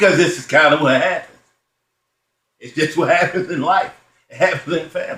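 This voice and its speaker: A man at a moderate pace. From Baltimore, Maryland. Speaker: stand-up comedian. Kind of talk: stand-up comedy routine.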